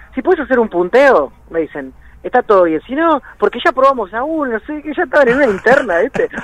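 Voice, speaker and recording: Over noticeable background noise, a man talks at a fairly quick pace with very wide pitch swings, the sound dry and close with no echo. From Buenos Aires, Argentina. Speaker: rock musician. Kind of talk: radio interview.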